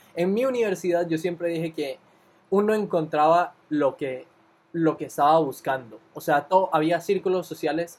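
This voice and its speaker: With ordinary pitch variation, a man speaks at a moderate pace and a high pitch. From Costa Rica. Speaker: podcast co-host, recent university graduate. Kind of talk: casual chat.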